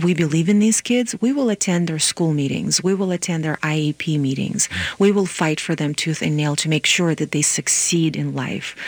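With an Eastern European accent and a very deep, low pitch, a woman speaks at a moderate pace with hardly any pauses and ordinary pitch variation over noticeable background noise. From Moldova. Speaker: nonprofit executive director and lawyer. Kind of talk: radio interview.

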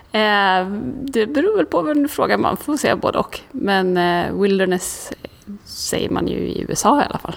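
A woman's normal speaking voice, medium in pitch, at a moderate pace with lively intonation. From Sweden, Karlstad. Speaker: outdoor adventurer and photographer. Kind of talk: interview. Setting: recorded on location.

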